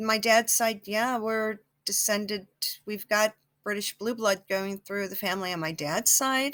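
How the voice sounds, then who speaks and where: A woman with an American accent speaks in a fairly high voice. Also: fairly even intonation, fairly slow pace. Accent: some New Jersey accent at times. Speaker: psychic YouTuber. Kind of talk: casual vlog monologue. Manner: halting, with many fillers and restarts.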